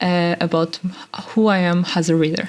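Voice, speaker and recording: A woman with a Portuguese accent speaks over noticeable background noise. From Portugal. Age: 20s. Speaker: podcast host. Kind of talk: casual monologue. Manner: halting.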